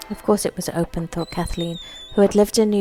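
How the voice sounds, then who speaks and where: A woman talks with monotone, flat intonation while music plays in the background. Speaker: author reading own story. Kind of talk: short story reading.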